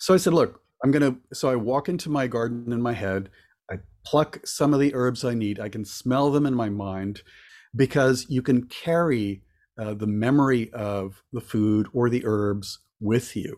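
A man at a moderate pace with ordinary pitch variation, an ordinary speaking voice. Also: medium pitch for a man. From Florida (born in Cuba). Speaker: author and witchcraft elder. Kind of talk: casual chat. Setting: video call.

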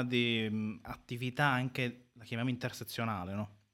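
A man with a plain, everyday voice, medium in pitch, at a moderate pace. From northern Italy, Sicilian family. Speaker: activist, law student. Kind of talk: live radio interview. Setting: radio studio.

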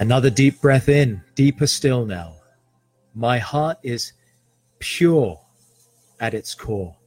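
With music in the background, a man speaks very slowly at a medium pitch, his intonation lively and his pauses long and frequent. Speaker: podcast host and meditation guide. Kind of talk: guided meditation. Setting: live stream with background music. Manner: slow, soft, soothing, with long pauses.

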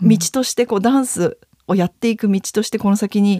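A woman's ordinary speaking voice, fairly high in pitch and at a fairly quick pace, with a dry, close sound and no echo. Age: 30s. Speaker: dance and fitness instructor. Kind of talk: interview.

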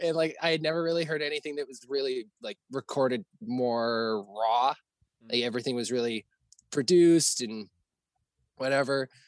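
Speaking in a western Canadian accent, a man keeps a moderate pace. The sound is dry and close, without echo. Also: medium pitch for a man, ordinary pitch variation. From Alberta, Canada. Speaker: hardcore band vocalist. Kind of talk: casual chat.

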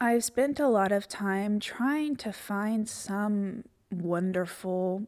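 With a Southern US accent, a woman talks using ordinary pitch variation. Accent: Southern US (Georgia). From Georgia, US South. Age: 30s. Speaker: podcast host. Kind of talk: personal journal monologue. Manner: emotional, close to tears.

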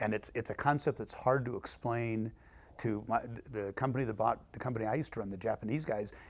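A man at a very fast pace, fairly even intonation, in a very clean recording with a silent background. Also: medium pitch for a man. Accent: Californian. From Los Angeles, San Fernando Valley. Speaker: homebuilding executive. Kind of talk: interview conversation.

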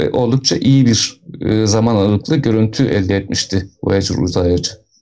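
A man has an unremarkable speaking voice at a medium pitch. He keeps a moderate pace with lively intonation. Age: 40s. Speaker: astronomy educator. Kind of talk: live-streamed educational talk.

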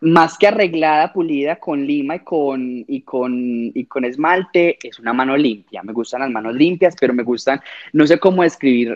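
In an ordinary speaking voice, a man talks at a moderate pace with hardly any pauses, a fairly high pitch and ordinary pitch variation. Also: big swings in loudness. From Colombia, Medellín. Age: 20s. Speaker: fashion designer. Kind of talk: casual chat.

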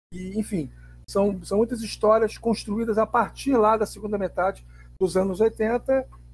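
A man keeps a moderate pace as music plays in the background. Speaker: journalist and table football player. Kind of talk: interview. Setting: remote recording app.

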